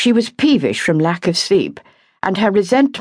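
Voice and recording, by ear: Reading aloud in a natural voice, with lively intonation and a quiet background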